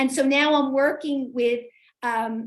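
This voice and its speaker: A woman with a New York accent, high-pitched, at a very slow pace with fairly even intonation. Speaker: literacy coach and author. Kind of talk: community talk with Q&A.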